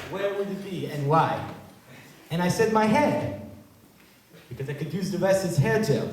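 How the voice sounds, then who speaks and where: A man's high voice with very wide pitch swings at a moderate pace, with long, frequent pauses, noticeable background noise and audible room echo. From Israel. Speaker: comedian. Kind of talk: stand-up. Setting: stage with audience.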